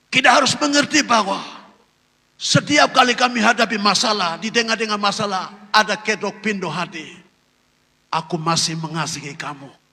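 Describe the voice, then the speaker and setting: A man with a non-native accent talks at a moderate pace in a high, raised, projected voice. His intonation is lively. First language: not Indonesian (speaking Indonesian). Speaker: pastor. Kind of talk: sermon.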